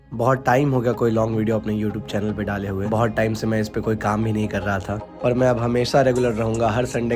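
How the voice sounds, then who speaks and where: Music plays in the background as a man speaks at a moderate pace with hardly any pauses. His medium-pitched voice is monotone and flat. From Bihar, India. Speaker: horror story narrator. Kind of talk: casual talk to camera.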